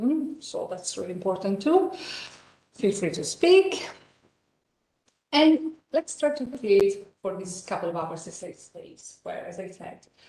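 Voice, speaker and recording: With an Italian accent, a woman of medium pitch speaks at a fairly slow pace in a dark, mellow, somewhat breathy tone, her pitch swinging very widely and her loudness shifting greatly, with long, frequent pauses. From northern Italy, Reggio Emilia. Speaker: professor. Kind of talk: lecture.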